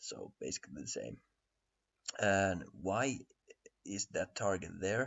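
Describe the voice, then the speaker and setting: With a Finnish accent, a man with a fairly low pitch and vocal fry talks very slowly, pausing long and often, with lively intonation. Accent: Finnish accent, self-described poor English. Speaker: crypto trading analyst. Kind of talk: tutorial. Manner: halting, many fillers and repetitions.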